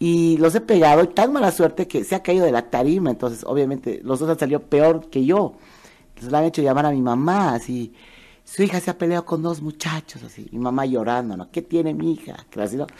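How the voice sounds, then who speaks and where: Speaking in a Bolivian accent at a fairly quick pace, a woman uses a very deep, low pitch and a dark, mellow tone with lively intonation. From Bolivia, Cochabamba. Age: 50s. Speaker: entertainer and economist. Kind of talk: casual interview. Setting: studio.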